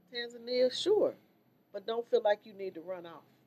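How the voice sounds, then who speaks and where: A woman's fairly high-pitched voice at a moderate pace. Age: 60s. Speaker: state legislator and activist. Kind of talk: casual interview chat. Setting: video podcast studio.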